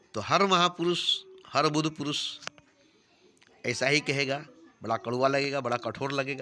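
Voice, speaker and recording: A man speaks with a fairly high pitch and ordinary pitch variation. He leaves long, frequent pauses. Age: 60s. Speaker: self-styled spiritual teacher. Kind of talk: spiritual discourse.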